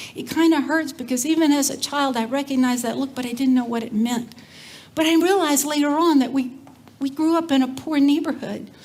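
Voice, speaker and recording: Audible room echo surrounds a woman talking at a high pitch and a fairly quick pace. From Texas, Cajun family background. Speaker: community development leader, speaker. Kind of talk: conference talk. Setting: stage with audience. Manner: animated.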